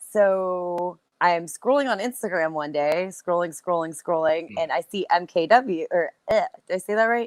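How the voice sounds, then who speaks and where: Here a woman uses a normal speaking voice at a fairly low pitch, with ordinary pitch variation. She keeps a moderate pace, and the sound is dry and close with no echo. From United States. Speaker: professional wrestler. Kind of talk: interview answer. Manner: casual, chatty.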